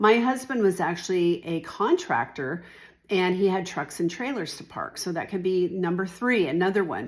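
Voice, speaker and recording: Using a normal speaking voice, a woman of medium pitch talks at a moderate pace with lively intonation, recorded very cleanly against a silent background. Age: 60s. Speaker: real estate agent. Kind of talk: informal talk-to-camera explainer. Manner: conversational, with fillers.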